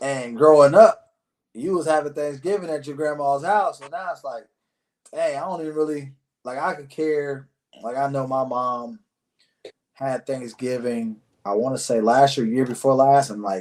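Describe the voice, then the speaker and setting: A man with a fairly high pitch has an unremarkable speaking voice. His pace is moderate, with ordinary pitch variation and big swings in loudness. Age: 30s. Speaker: podcast host. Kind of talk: casual interview chat.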